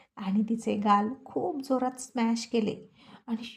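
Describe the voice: Fairly even intonation shapes this plain reading aloud.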